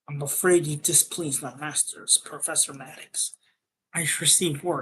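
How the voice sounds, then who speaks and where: In a put-on character voice, a man sounds raspy and fairly high-pitched, talking at a moderate pace with fairly even intonation. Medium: read story. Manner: cold, condescending.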